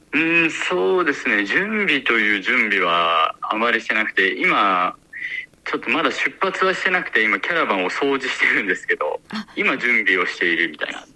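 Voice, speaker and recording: A man talks at a moderate speed. Background noise is noticeable throughout. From Japan. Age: young. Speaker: adventurer. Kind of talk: interview. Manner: hesitant with fillers.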